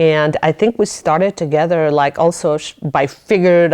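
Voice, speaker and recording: A woman talks with a non-native accent. The sound is dry and close, with no echo. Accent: foreign accent, noticeable. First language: not English. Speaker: business owner and lawyer. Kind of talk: casual interview chat. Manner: halting.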